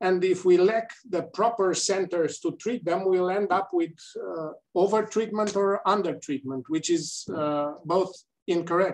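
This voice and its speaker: A man with a Romanian accent, high-pitched and fairly slow, against a quiet background. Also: ordinary pitch variation. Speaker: gynaecologic oncologist and politician; panelist. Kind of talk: panel discussion. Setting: video call. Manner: halting. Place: office. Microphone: webcam.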